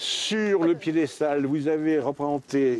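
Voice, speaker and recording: A man's speech, with ordinary pitch variation, comes through noticeable background noise. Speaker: retired linguist. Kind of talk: casual conversation on location. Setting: outdoors.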